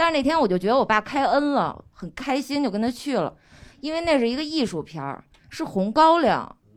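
A woman's high voice at a fairly quick pace, with very wide pitch swings. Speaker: audience member. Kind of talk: personal anecdote.

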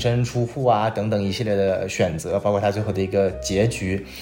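Noticeable noise hums in the background. Through it, a man talks at moderate speed. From Northeast China. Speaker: podcast host. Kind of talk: casual chat, TV drama review.

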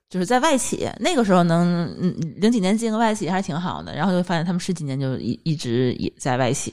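At a fairly quick pace, a woman with a fairly low pitch makes very wide pitch swings. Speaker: podcast co-host. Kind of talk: casual chat.

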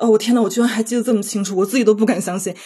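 A woman's somewhat breathy voice carries a dark, mellow tone against a quiet background. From Beijing, China. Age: 30s. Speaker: library technician. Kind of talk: personal testimony.

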